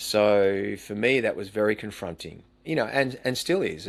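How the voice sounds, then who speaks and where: A man's fairly low voice with an Australian accent, in a very clean recording with a silent background. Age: 60s. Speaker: retired teacher and coach. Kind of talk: interview conversation.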